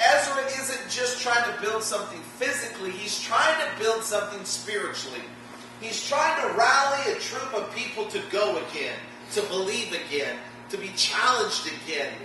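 Over noticeable background noise and strong room echo, a man speaks in a raised, projected voice at a moderate pace. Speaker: pastor. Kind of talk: sermon. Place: church.

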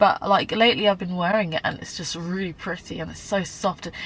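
Using a normal speaking voice, a woman talks at a fairly quick pace and a fairly low pitch, the sound dry with no echo. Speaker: beauty vlogger. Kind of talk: casual vlog chat.

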